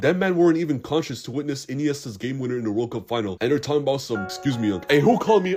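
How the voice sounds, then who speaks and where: With music in the background, a man talks at a very fast pace with hardly any pauses. His pitch is fairly high and his intonation lively. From Toronto, Canada. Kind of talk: animated storytime narration. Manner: casual, comedic.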